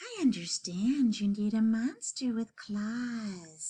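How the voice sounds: This recording carries a natural reading voice.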